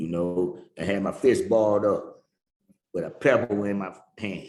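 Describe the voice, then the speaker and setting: A man speaks at a fairly slow pace with a fairly low pitch and fairly even intonation. He has a normal speaking voice. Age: 60s. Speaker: recovering addict sharing his story. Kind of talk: testimony.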